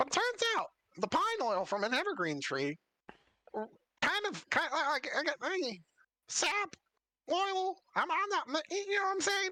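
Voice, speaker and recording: Putting on a squeaky character voice at an extremely high pitch, a man talks at a moderate pace with long, frequent pauses. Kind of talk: laid-back modern slang. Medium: actual play. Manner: stammering, halting, casual.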